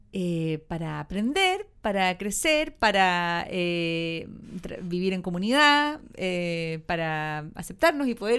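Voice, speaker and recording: On a very clean recording with a silent background, a woman with a Chilean accent swings her pitch very widely and her loudness greatly. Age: 40s. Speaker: actress. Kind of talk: casual interview. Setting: studio.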